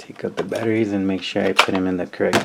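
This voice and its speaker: Over noticeable background noise, a man talks in a calm tone with a very deep, low pitch. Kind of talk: casual talk to camera. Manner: soft-spoken, calm.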